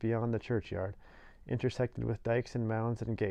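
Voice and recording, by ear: A natural voice reading text aloud.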